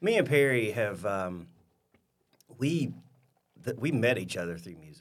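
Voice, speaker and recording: Recorded with audible room echo, a man speaks at a medium pitch and fairly slow pace, his pitch swinging very widely, his loudness shifting sharply, with long, frequent pauses. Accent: Alabama. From US South, rural southeast Alabama. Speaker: coffee shop owner. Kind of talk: interview. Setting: studio. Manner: animated.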